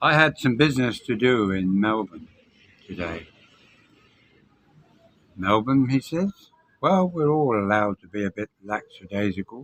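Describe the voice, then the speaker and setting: Speaking with a British accent, a man uses a fairly low pitch and lively intonation at a moderate pace, with long, frequent pauses, in a dry, close sound with no echo. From Britain. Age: 70s. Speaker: expat vlogger. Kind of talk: casual talk to camera.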